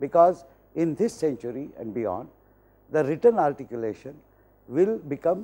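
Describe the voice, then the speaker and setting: With an Indian accent and a dark, mellow tone, a man at fairly high pitch speaks at a moderate pace, his pitch swinging very widely between long, frequent pauses. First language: Hindi. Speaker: professor. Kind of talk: lecture. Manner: formal. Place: studio. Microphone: lapel.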